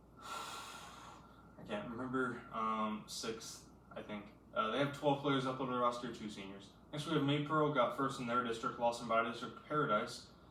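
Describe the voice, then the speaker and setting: A man with fairly even intonation speaks with big swings in loudness, with audible room echo and noticeable background noise. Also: medium pitch for a man. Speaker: high school basketball commentator. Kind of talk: casual solo analysis. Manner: fast; halting, many fillers.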